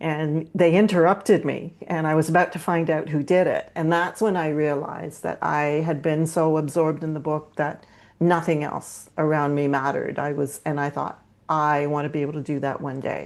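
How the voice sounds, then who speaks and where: The speaker has a Canadian accent and a flat, monotone intonation. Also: woman, very deep, low pitch for a woman, moderate pace, quiet background. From Canada (northern Ontario). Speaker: cozy mystery author. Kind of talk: casual chat.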